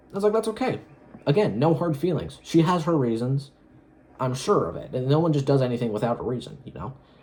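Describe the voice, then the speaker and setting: A man with a fairly high pitch and very wide pitch swings, talking at a fairly quick pace with long, frequent pauses over noticeable background noise. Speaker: solo vlogger. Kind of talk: casual monologue. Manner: fast; halting.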